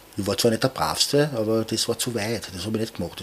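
A man rattles along at a very fast pace over noticeable background noise. His medium pitch varies in an ordinary way. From Vienna, 22nd district (Donaustadt). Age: 50s. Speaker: tattoo artist. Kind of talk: interview.

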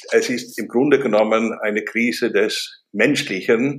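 The man speaks at a very slow pace. His pitch is medium. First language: not German (speaking German). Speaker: professor and business consultant. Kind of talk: interview.

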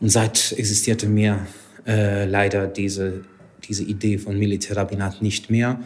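A man with a Hungarian accent speaks at a moderate pace in a fairly low pitch, his intonation monotone and flat. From Hungary. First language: Hungarian (speaking German). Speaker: rabbi. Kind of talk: interview. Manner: halting.

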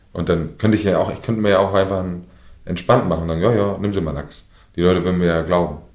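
Very fast and with fairly even intonation, a man speaks in a very deep, low voice amid audible room echo. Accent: northern German. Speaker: fishmonger. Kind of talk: interview. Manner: mumbling.

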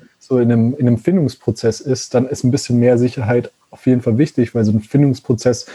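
A man talks at a fairly quick pace with fairly even intonation. His tone is dark and mellow and somewhat breathy. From Germany, Konstanz (Lake Constance). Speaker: zero-waste van traveller and content creator, former molecular biologist. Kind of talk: casual interview chat. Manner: halting, many fillers.

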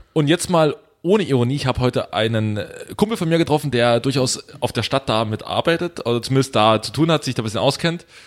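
A man's lively intonation carries through his very fast delivery. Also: medium pitch for a man. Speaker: podcast co-host. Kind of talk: casual chat.

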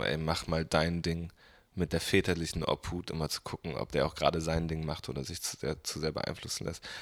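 A man with a very deep, low pitch and vocal fry, at a moderate pace, in a very clean recording with a silent background. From northern Germany, Bremen. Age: 20s. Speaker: musician. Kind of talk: casual interview chat.

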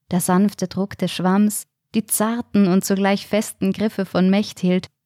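Someone does plain reading aloud, with quiet behind the voice.

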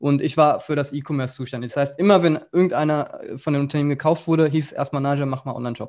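A man's fairly high-pitched voice at a very fast pace with hardly any pauses, fairly even intonation and a quiet background. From Germany, rural Upper Hesse. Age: 20s. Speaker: agency founder and entrepreneur. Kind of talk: casual interview.

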